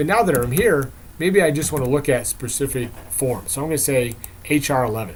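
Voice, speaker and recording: Against audible room echo, a man speaks at medium pitch and a fairly quick pace, his voice somewhat breathy. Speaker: software vendor presenter. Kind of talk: product demo presentation. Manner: fast.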